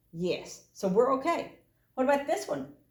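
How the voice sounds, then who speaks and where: Room echo is audible in this recording. A woman delivers her words at a moderate speed. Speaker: math teacher. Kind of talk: recorded lesson for students.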